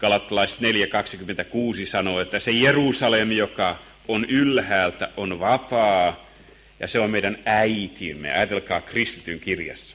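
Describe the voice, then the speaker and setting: The man talks very slowly in a fairly low pitch. His tone is bright and sharp, with ordinary pitch variation. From Finland, Helsinki. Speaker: Bible teacher. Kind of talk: Bible lesson sermon.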